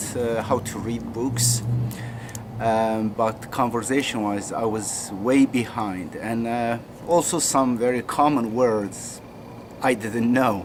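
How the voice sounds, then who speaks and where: Noticeable background noise and audible room echo accompany a man with a Turkish accent talking fairly slowly at a medium pitch. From Turkey. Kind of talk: personal story. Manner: halting.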